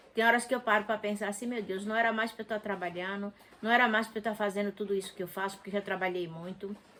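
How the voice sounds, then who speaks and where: Speaking at a fairly quick pace, a woman with a fairly high pitch comes through over noticeable background noise. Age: 60s. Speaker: interviewee, mother of the channel owner. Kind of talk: casual chat.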